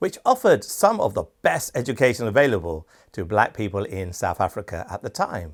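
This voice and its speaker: On a very clean recording with a silent background, a man with a British accent talks at a fairly quick pace. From Britain. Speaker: channel host and awards show founder. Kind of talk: scripted documentary narration.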